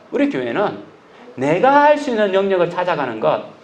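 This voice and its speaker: The pitch moves in very wide swings. Audible room echo and noticeable background noise fill the recording. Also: man. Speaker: pastor. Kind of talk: sermon. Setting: church. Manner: loud.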